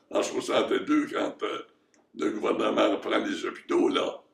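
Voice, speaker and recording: Talking at a fairly slow pace, a man uses an extremely high pitch. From Quebec, Canada. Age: old. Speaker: retired surgeon. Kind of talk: interview answer. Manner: alert, talkative.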